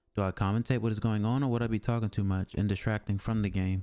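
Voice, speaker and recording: With music in the background, a man with a fairly low voice talks at a fairly quick pace. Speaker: streamer. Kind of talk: casual monologue. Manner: monotone.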